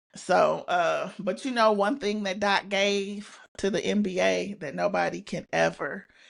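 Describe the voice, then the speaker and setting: Against a quiet background, a woman speaks at a fairly slow pace with an American accent. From Indiana, US. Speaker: sports podcast co-host. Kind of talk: casual chat.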